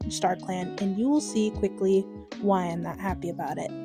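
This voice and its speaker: A quiet woman's voice over music in the background. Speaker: digital artist and video commentator. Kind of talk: speedpaint commentary. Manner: gradually gets quieter.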